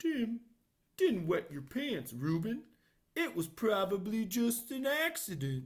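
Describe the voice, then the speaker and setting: The put-on character voice sits at a fairly high pitch, with very wide pitch swings and a fairly slow pace. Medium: read story. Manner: gentle, reassuring.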